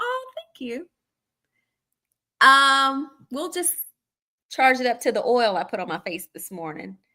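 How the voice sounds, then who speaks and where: A woman speaks at a fairly slow pace in a raised, projected voice, with a high pitch, a bright, sharp tone and an animated delivery. Her pitch swings very widely, her loudness swings a lot, and long, frequent pauses break up her speech in a very clean recording with a silent background. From Arkansas, US South. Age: 40s. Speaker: livestream host. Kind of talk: casual chat. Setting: live stream.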